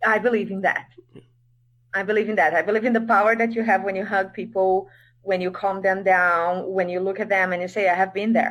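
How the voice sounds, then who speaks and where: A woman at a medium pitch talks at a fairly quick pace in a monotone, flat intonation. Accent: Portuguese. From Brazil. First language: Portuguese. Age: 30s. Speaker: English teacher. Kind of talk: interview.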